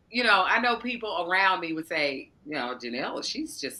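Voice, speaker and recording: Over noticeable background noise, a woman with a medium-pitched voice speaks at a moderate pace, her pitch swinging very widely. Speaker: podcast guest, spiritual coach. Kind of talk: interview conversation. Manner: loud and demonstrative.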